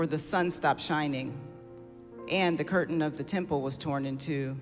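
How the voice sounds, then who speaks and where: Music plays in the background as a man with fairly high pitch speaks at a fairly slow pace with fairly even intonation. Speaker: senior pastor. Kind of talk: formal scripture reading.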